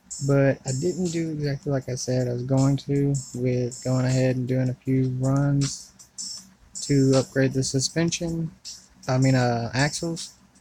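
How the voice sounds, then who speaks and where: Over noticeable background noise, a man speaks at a medium pitch and fairly slow pace in a monotone, flat intonation. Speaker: mobile gaming YouTuber. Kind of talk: gameplay commentary. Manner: quieter than normal.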